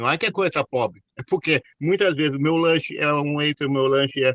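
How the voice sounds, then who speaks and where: A man speaks in an unremarkable speaking voice at a fairly high pitch and moderate pace, with ordinary pitch variation. The sound is dry and close, with no echo. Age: 60s. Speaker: network marketing consultant. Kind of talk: online class discussion.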